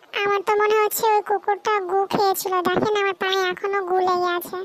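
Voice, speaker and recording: This cartoonish character voice sits at an extremely high pitch. It moves at a moderate pace with monotone, flat intonation. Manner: literal, rambling.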